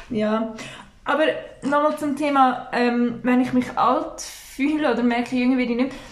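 At a moderate pace and with fairly even intonation, a woman speaks in a high pitch over noticeable background noise and audible room echo. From Switzerland, village near Baden, Aargau. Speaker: podcast co-host. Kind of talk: casual chat.

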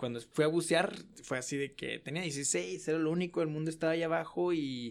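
This man's pitch is fairly high, and he talks fairly quickly with ordinary pitch variation. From Mexico, Guadalajara. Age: 20s. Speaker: student sharing personal story. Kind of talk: casual interview, storytelling.

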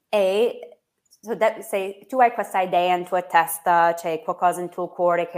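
The recording is very clean, with a silent background. A woman with an American accent speaks at a fairly low pitch, her intonation fairly even. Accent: American English accent in Italian. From United States. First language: English (speaking Italian). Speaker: English teacher and social media entrepreneur. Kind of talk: interview. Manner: halting, many fillers.

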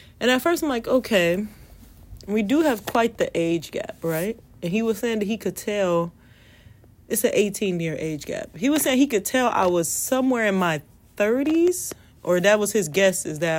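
At a medium pitch, a woman talks with very wide pitch swings. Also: moderate pace. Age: 20s. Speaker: vlogger. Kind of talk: casual monologue. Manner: halting.

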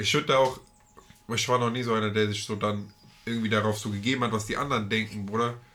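Noticeable background noise sits under a man speaking at a very fast pace. His medium-pitched voice stays monotone and flat. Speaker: podcast co-host. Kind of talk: casual chat.

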